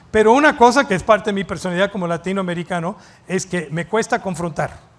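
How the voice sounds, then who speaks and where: Here a man with a high pitch talks at a fairly quick pace with lively intonation. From mixed Cuban-American family, raised partly in the US. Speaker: pastor. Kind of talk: sermon. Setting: church auditorium, live-streamed.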